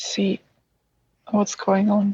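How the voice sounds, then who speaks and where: Somewhat breathy, a woman speaks at a very slow pace. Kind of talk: IFS therapy session client answer. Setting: early morning at home, child sleeping nearby. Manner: whispered, quiet.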